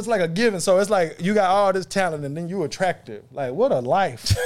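A man with an American accent, fairly quick pace and lively intonation. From East Texas. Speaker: podcast co-host. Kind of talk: casual chat.

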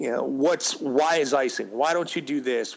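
A man speaks with an American accent. He has an ordinary speaking voice. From Western New York. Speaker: sports radio host. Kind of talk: casual interview.

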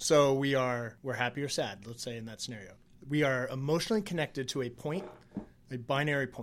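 This man has an unremarkable speaking voice at a medium pitch with ordinary pitch variation and a fairly quick pace. His loudness swings widely on a very clean recording with a silent background. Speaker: podcast co-host. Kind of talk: casual chat.

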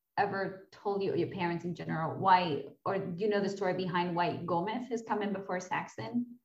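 A woman's medium-pitched voice at a moderate pace, a normal speaking voice. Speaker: podcast host. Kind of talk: casual interview chat.

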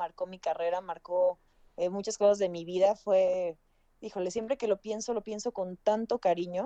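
In a dry, close recording with no echo, a woman with a dark, mellow tone speaks at a moderate pace. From Puebla, Mexico. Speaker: actress and TV presenter. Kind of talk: casual chat.

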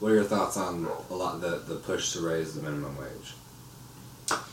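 There is noticeable background noise and audible room echo. Through it, a man speaks with lively intonation. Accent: American. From Florida, Orlando. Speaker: podcast co-host. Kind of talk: casual chat.

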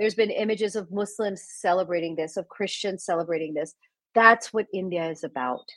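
In a quiet setting, a woman speaks fairly quickly at a medium pitch with ordinary pitch variation. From US, Indian Gujarati family. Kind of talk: casual interview. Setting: video call.

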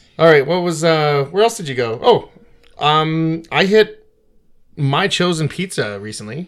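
A man with fairly high pitch, a Canadian accent, and a normal speaking voice, speaking at a fairly slow pace with lively intonation and big swings in loudness. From Victoria, British Columbia, Canada. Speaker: podcast co-host, military worker. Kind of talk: casual chat.

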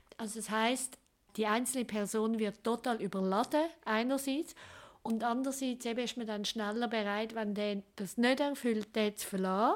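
With a Swiss accent, the speaker keeps a moderate pace and fairly even intonation. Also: woman, fairly high pitch for a woman. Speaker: sexologist. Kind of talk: interview. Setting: her practice.

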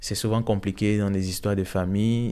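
A man's fairly low voice, dark and mellow in tone, flat and monotone in intonation, at a moderate pace. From Cameroon. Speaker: refugee student and singer-songwriter. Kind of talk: testimony. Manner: hesitant, many fillers.

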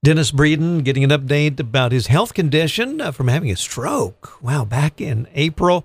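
A somewhat breathy man's voice at a fairly high pitch, moderate pace, ordinary pitch variation and hardly any pauses. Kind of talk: radio interview. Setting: radio studio.

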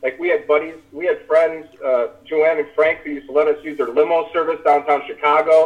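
A man with an American accent and a plain, everyday voice at a fairly high pitch, fairly even intonation, and a moderate pace. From US Midwest, small-town Illinois. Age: 30s. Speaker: former reality TV contestant. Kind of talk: casual interview chat.

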